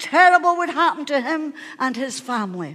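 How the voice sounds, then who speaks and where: An animated woman at a fairly slow pace, with ordinary pitch variation. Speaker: pastor. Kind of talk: sermon. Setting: church. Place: church.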